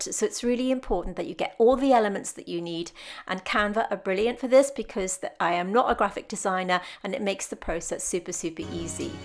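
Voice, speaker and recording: Speaking at a fairly quick pace with a British accent, a woman uses a medium pitch and ordinary pitch variation on a very clean recording with a silent background. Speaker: artist and art tutorial YouTuber. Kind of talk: tutorial voiceover narration. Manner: stumbles over words; smiling while talking.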